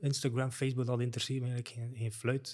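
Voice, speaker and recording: Somewhat breathy, the voice has a dark, mellow tone and fairly even intonation. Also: man. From West Flanders, Belgium (Lauwe, Wevelgem). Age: 50s. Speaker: e-commerce strategy consultant. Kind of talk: casual interview chat. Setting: studio.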